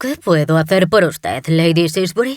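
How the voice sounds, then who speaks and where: At a middle pitch and a moderate pace, a strained, put-on character voice comes through. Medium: read story. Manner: courteous, restrained.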